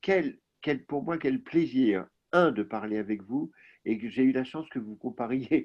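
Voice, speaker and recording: Here a man is speaking. His intonation is lively. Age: 60s. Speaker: novelist. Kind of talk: interview.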